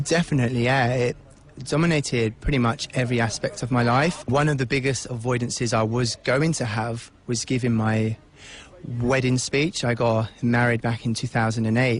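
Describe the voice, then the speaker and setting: Somewhat breathy, medium-pitched male voice at a moderate pace, with very even loudness and fairly even intonation. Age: 20s. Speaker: person who stutters. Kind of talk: interview.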